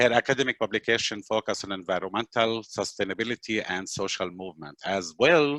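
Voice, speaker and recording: In an Arabic accent, a man with a fairly low pitch and a bright, sharp tone speaks at a fairly quick pace with ordinary pitch variation, the sound dry and close with no echo over a quiet background. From Palestinian refugee camp in Lebanon. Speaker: webinar host, nonprofit worker. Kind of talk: webinar introduction. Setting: video call webinar.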